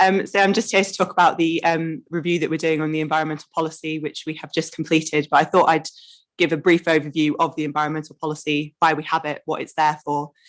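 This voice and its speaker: Very fast, monotone speech from a woman with an English accent, her pitch very deep and low, her intonation flat. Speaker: council officer. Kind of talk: presentation. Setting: committee meeting.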